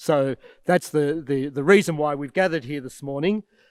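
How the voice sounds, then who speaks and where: With an Australian accent, a man speaks at a fairly high pitch and a fairly quick pace, his intonation fairly even. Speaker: archbishop. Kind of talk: address to students.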